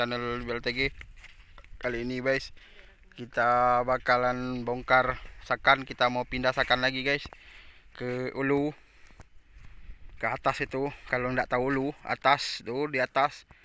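Speaking slowly and in a flat monotone, a man leaves long, frequent pauses, and the sound is dry with no echo. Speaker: tin miner vlogger. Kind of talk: casual vlog chat. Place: open country. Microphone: phone near.

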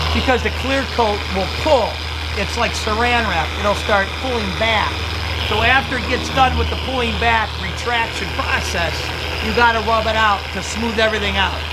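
A man with an American accent talks at a moderate pace over loud background noise. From Cleveland, Ohio, US Midwest. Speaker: auto detailer. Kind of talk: tutorial. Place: street. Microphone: camera far.

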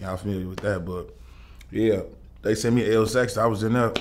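With light background noise behind him, a man talks at a fairly quick pace in a fairly low pitch. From Chicago, east side. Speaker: rapper; interview guest. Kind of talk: casual interview. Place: studio.

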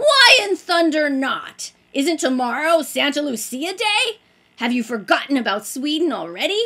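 Shouting in a put-on character voice, a woman speaks at a high pitch. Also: moderate pace. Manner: shouting, indignant.

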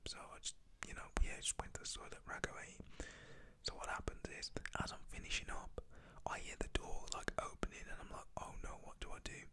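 Whispering at a moderate pace in a British accent, with noticeable background noise. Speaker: ASMR YouTuber storyteller. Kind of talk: whispered ASMR storytime. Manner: soft-spoken, whispery.

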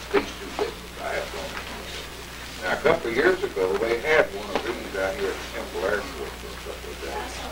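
Loud background noise fills the clip. A man speaks over it at a moderate pace. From Tennessee. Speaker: World War II veteran. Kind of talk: lecture to schoolchildren. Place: classroom. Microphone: camera far.

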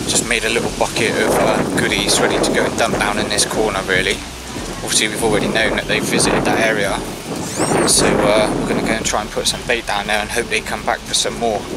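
A man at a fairly quick pace, dry with no echo, over loud background noise. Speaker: angler vlogger. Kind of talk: casual vlog chat. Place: waterside. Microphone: phone near.

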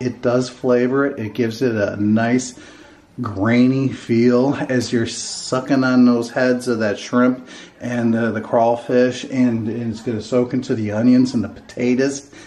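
A man speaks in a flat monotone. His pace is fairly slow. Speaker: home cook vlogger. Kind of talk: casual vlog chat. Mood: joking, playful. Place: kitchen. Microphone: phone near.

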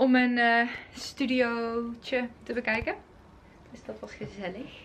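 The speech is very slow, its intonation fairly even, with big swings in loudness. Light noise sits in the background. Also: woman, high pitch for a woman. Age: 20s. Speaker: student. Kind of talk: casual vlog talk to camera. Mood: cheerful, relaxed. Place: home room. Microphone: phone near.

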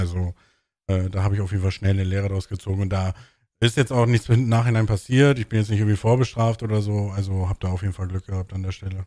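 A man talks at a very fast pace in a dark, mellow tone and fairly low pitch, with fairly even intonation, a dry sound with no echo and a quiet background. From northern Germany, Bremen; Germany. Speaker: podcast host. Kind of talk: casual chat. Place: home room. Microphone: studio mic.

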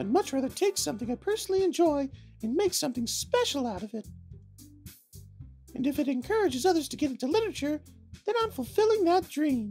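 Putting on a character voice with an extremely high pitch, a man talks very fast in a confident tone, leaving long, frequent pauses as faint music plays behind him. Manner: sweet, confident.

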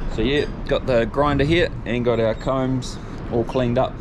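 Speech moves at a moderate pace with noticeable background noise. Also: man. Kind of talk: casual vlog chat.

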